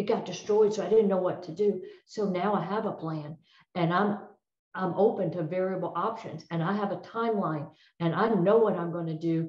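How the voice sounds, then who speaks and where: Somewhat breathy, a woman speaks at a moderate pace and medium pitch with fairly even intonation. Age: 60s. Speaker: retired federal drug agent. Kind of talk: presentation.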